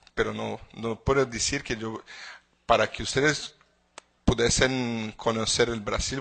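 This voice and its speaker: Speaking at a fairly slow pace with a Portuguese accent, a man uses a medium pitch, a bright, sharp tone and fairly even intonation. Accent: Portuguese-accented Spanish (portuñol). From Brazil. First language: Portuguese (speaking Spanish). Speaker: legal expert speaker. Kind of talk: conference lecture. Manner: halting with repetitions.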